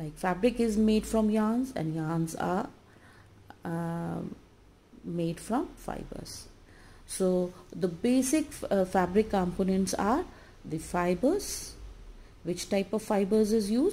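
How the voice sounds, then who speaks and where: In an Indian accent, a woman with a somewhat breathy, dark, mellow voice at medium pitch talks at a very slow pace, with ordinary pitch variation and long, frequent pauses. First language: Hindi. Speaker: college lecturer. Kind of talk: lecture. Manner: halting, many filler uh's. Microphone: phone near.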